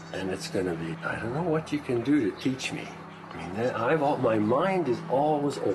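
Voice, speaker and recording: Noticeable background noise sits behind a man talking at a fairly quick pace. His pitch is medium, with very wide swings. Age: 60s. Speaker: workshop participant. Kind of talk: heated debate.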